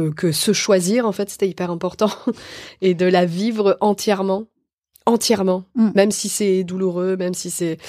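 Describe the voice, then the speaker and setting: Dark and mellow in tone, a woman speaks at a medium pitch. The recording is very clean, with a silent background. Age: 40s. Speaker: actress and author. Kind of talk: casual chat. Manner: halting.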